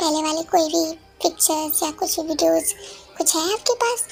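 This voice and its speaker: Clear music plays behind a squeaky, put-on character voice speaking at a moderate pace with ordinary pitch variation. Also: woman, extremely high pitch for a woman. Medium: read story. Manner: calm, professional.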